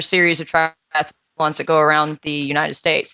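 A woman with a bright, sharp tone. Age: 30s. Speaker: high school music director and triathlete. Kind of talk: casual interview.

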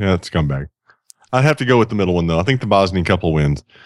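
On a very clean recording with a silent background, a man speaks with an American accent. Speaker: podcast co-host. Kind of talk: casual chat.

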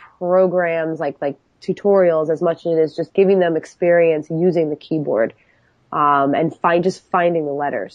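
In an American accent, a woman with a fairly low pitch has an ordinary speaking voice, talking at a moderate pace with ordinary pitch variation. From New York. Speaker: computer teacher. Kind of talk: podcast interview.

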